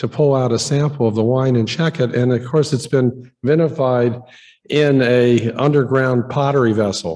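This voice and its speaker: The man's voice is shaky, with a medium pitch and fairly even intonation. He keeps a moderate pace and very even loudness. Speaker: archaeologist giving a lecture. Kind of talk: conference lecture. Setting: museum auditorium with audience. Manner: halting, many fillers.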